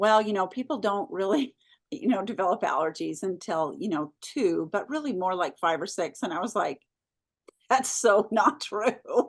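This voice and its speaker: A woman talks in a normal speaking voice at a medium pitch. Her intonation is lively, her pace moderate, and the background quiet. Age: 60s. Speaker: food company founder. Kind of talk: interview.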